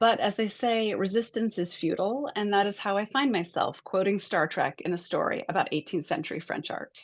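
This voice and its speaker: Over a quiet background, a woman with an American accent uses a normal speaking voice at a medium pitch and a moderate pace, with ordinary pitch variation. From Montana, US. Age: 50s. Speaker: author and art historian. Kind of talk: reading aloud from own book.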